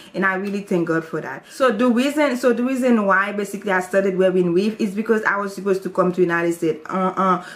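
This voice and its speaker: Speaking at a very fast pace with hardly any pauses, a woman with a Haitian accent uses a medium pitch and ordinary pitch variation against noticeable background noise. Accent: Haitian Creole-accented English. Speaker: YouTuber. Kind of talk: testimony. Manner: casual, hesitant.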